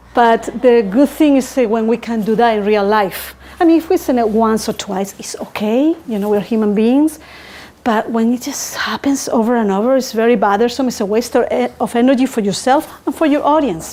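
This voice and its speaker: A woman with a non-native accent speaks at a fairly high pitch and moderate pace. Her pitch varies an ordinary amount, with noticeable background noise. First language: not English. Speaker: public speaking coach. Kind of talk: tutorial.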